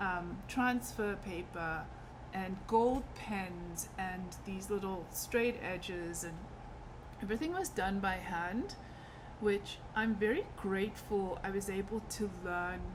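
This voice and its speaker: A woman of medium pitch talks at a very slow pace with fairly even intonation. Audible room echo is present. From South Africa. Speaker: artist and fabric designer. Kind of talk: casual personal introduction vlog. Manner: conversational with frequent fillers.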